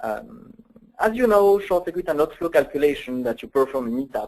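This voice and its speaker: A man with a French accent, lively intonation and a moderate pace. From France. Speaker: software application engineer. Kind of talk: technical webinar presentation. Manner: hesitant, many fillers.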